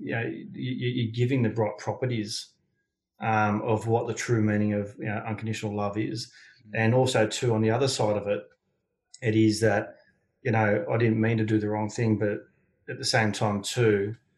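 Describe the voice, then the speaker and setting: At a moderate pace, a man in an Australian accent speaks with a fairly low pitch, a somewhat breathy quality and fairly even intonation. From Sydney, Australia. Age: 40s. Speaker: building consultant and men's mentor. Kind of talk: interview.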